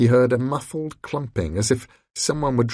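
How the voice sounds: The delivery is a natural reading voice. Pitch varies an ordinary amount over a quiet background.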